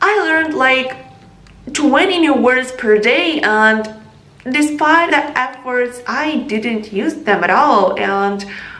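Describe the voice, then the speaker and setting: A woman with an American accent, high-pitched and very slow, with lively intonation and noticeable background noise. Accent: non-native, learned American pronunciation. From Ukraine. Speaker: English learning vlogger. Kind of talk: casual talk to camera.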